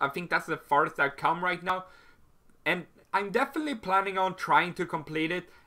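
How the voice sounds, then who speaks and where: A high-pitched man's voice with a bright, sharp tone and ordinary pitch variation, in a very clean recording with a silent background. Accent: Swedish. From Sweden. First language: Swedish. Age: 20s. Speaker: YouTuber. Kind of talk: Q&A video monologue. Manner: halting, many fillers.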